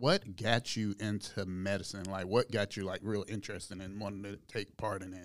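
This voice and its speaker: A man with a fairly low pitch speaks at a moderate pace in a flat monotone, his loudness swinging widely. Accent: American. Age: 30s. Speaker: podcast co-host. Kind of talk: casual chat.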